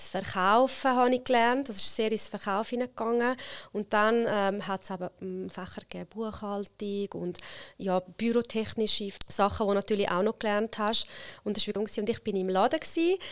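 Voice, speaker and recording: With an Italian accent, a woman of medium pitch speaks at a moderate pace with fairly even intonation in a very clean recording with a silent background. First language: Italian (speaking German). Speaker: HR consultant and company founder. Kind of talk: interview conversation.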